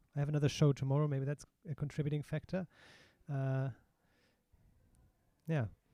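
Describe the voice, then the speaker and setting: With a German accent, a man speaks fairly quickly at a fairly high pitch, his tone dark and mellow and his intonation fairly even, with long, frequent pauses on a very clean recording that is dry and close with no echo and a silent background. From Germany. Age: 30s. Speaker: urban designer and podcaster. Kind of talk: live panel discussion. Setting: stage with live audience.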